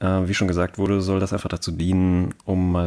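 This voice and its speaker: Delivered at a moderate pace, the dark, mellow voice stays in a flat monotone in a very clean recording with a silent background. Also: man. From Hesse, Germany (between Cologne and Frankfurt). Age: 20s. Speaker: podcast co-host, software developer. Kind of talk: casual chat.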